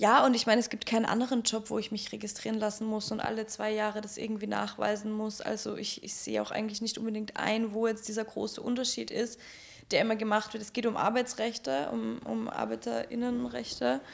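A woman speaks at a fairly quick pace. Noticeable background noise can be heard. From Austria, Graz. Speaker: sex worker. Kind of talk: casual chat.

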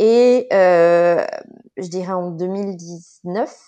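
In a dark, mellow tone, a woman talks with a fairly low pitch. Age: 30s. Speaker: social psychologist. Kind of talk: casual chat. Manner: halting.

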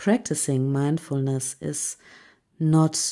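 Speaking at a very slow pace, the voice carries a calm, soothing, dark and mellow tone on a very clean recording with a silent background. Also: woman. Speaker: podcast host and mental coach. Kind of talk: guided meditation; scripted solo podcast narration. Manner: slow, calm, soothing, with long pauses.

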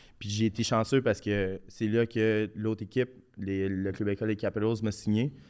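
A voice with a Quebec accent and a dark, mellow tone comes through on a very clean recording with a silent background. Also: man. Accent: Québécois French. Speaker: professional hockey player. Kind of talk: casual podcast interview. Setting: studio.

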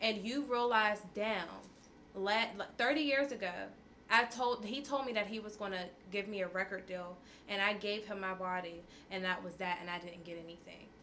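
Over noticeable background noise and audible room echo, a woman of medium pitch speaks in an animated tone at a moderate pace, with ordinary pitch variation and long, frequent pauses. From Pittsburgh (Homewood, east side). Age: 20s. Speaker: young entrepreneur. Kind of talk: casual chat.

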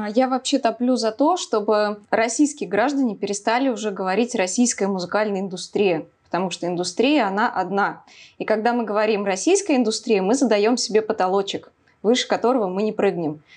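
Her voice is a normal speaking voice, fairly high for a woman, moving at a fairly quick pace with ordinary pitch variation. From Samara, Russia. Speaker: YouTube blogger and rock fan. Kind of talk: casual chat.

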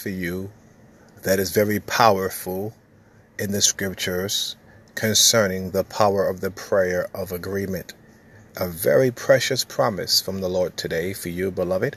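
A man's fairly low voice, flat and monotone, at a moderate pace over a very clean recording with a silent background. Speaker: preacher. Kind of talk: fervent prayer and sermon-style exhortation, delivered as a devotional message. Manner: earnest, impassioned, urgent; emphatic and repetitive, declaring with conviction.

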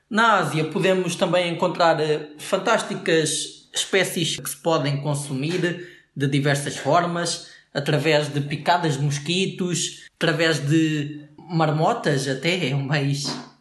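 Very slow pace with fairly even intonation and audible room echo. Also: man, fairly high pitch for a man. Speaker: podcast co-host. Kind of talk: comedic scripted banter.

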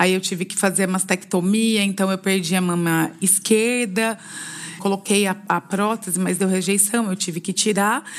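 Over noticeable background noise, a woman of medium pitch speaks at a fairly slow pace. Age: 40s. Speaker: cancer patient. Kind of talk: testimony.

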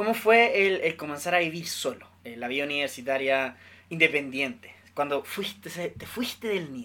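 A man with a bright, sharp tone speaks at a fairly high pitch and a moderate pace. His intonation is lively and his loudness swings widely. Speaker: podcast host. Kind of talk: casual chat.

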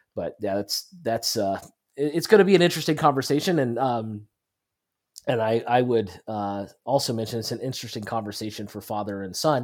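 This is a plain, everyday voice: a man at medium pitch, moderate pace, with ordinary pitch variation and big swings in loudness. The recording is very clean, with a silent background. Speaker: podcast co-host, Bible teacher. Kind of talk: religious discussion.

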